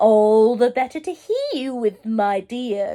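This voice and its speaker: The pace is fairly slow in this put-on character voice. It comes from a woman pitched high. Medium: read story. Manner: sly, growling.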